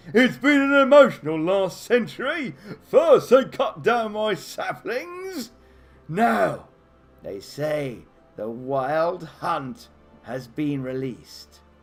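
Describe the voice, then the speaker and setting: In a put-on character voice, a man speaks husky and high-pitched at a very slow pace, with faint music in the background. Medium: actual play. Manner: slow, world-weary.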